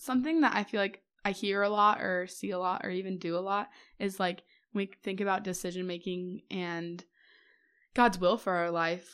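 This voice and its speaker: A woman with an American accent uses an unremarkable speaking voice, fairly even intonation and a moderate pace in a very clean recording with a silent background. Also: medium pitch for a woman. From US Midwest. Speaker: podcast host. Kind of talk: casual chat.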